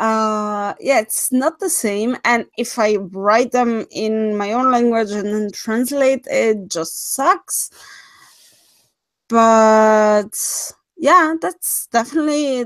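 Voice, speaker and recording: Very slow speech with a non-native accent and ordinary pitch variation comes through in a very clean recording with a silent background. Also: woman, fairly high pitch for a woman. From Switzerland. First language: not English. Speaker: horror story narrator, livestream host. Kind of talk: casual livestream chat.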